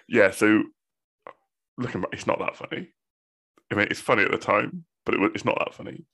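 A man with a Bristol accent at a very fast pace, broken by long, frequent pauses. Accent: Bristolian, West Country English. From Bristol, England. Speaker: podcast host. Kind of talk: casual chat between friends.

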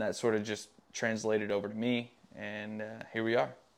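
This man has an American accent and speaks at a medium pitch and moderate pace. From Tennessee, rural West Tennessee. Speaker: professional motocross racer. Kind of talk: casual interview chat. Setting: outdoors by his garage. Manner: hesitant, many fillers.

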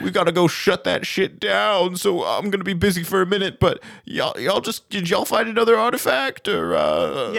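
A man's put-on character voice, high in pitch, at a moderate pace with hardly any pauses, in a very clean recording with a silent background

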